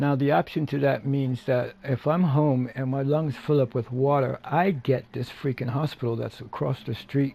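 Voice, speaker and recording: A dark, mellow voice at a moderate pace, somewhat breathy, with fairly even intonation and hardly any pauses. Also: man, fairly high pitch for a man. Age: 60s. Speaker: gaming streamer and vlogger. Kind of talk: casual gameplay chat.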